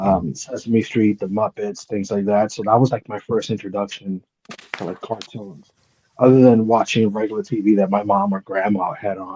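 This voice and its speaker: In a Spanish accent, a man with a fairly low pitch talks with fairly even intonation, the sound dry and close with no echo. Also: moderate pace. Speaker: panelist. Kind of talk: casual chat.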